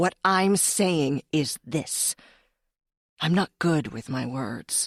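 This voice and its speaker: A woman puts on a gruff character voice pitched very deep and low. She speaks at a very slow pace. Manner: blunt, growly.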